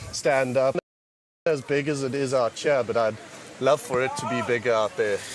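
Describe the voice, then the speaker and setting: A man with a South African accent speaks at a medium pitch, his intonation fairly even, leaving long, frequent pauses. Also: moderate pace. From South Africa, Cape Town. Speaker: paddleboard race team member. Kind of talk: post-race interview.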